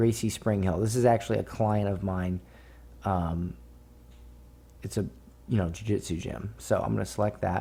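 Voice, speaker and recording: A very deep, low male voice, somewhat breathy and dark and mellow in tone, with very wide pitch swings and long, frequent pauses. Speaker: online marketing instructor. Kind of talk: tutorial. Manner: slow, explanatory; casual, filler-heavy.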